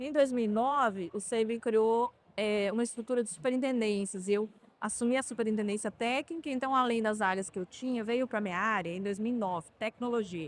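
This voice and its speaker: A woman with a Minas Gerais accent speaks at a moderate pace. Her fairly high voice varies in pitch in an ordinary way. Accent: Minas Gerais (mineiro). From southwest Minas Gerais, Brazil. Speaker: healthcare company executive. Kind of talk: interview. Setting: trade fair podcast booth.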